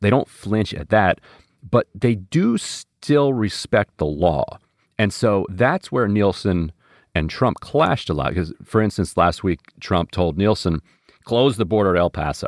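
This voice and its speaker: Here is a normal speaking voice from a man with a fairly low pitch and lively intonation. He goes at a fairly slow pace on a very clean recording with a silent background. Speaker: political analyst. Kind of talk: interview analysis.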